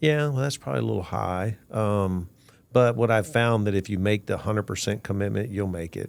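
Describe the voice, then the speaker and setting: A man's normal speaking voice, fairly low in pitch, with ordinary pitch variation at a fairly quick pace. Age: 60s. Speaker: podcast host. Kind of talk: podcast interview.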